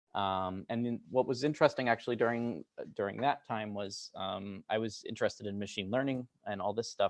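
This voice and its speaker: A man with an American accent talks at a fairly quick pace in a plain, everyday voice, medium in pitch with ordinary pitch variation, the sound dry and close with no echo over a quiet background. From United States (moved around). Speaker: computer science researcher. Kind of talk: lecture. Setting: lab talk with audience. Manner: many filler words (um, uh).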